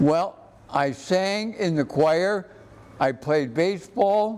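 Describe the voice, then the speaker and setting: Against noticeable background noise, a man with an American accent speaks at a very slow pace with lively intonation. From Ohio, Cleveland area. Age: 80s+. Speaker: senior center member, veteran. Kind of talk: interview. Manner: halting.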